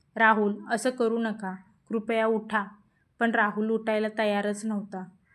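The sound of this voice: An unforced reading voice is used throughout.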